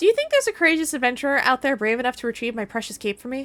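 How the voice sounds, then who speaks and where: A put-on character voice, female-sounding and high-pitched, at a very fast pace. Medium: game stream. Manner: melodramatic, overwrought.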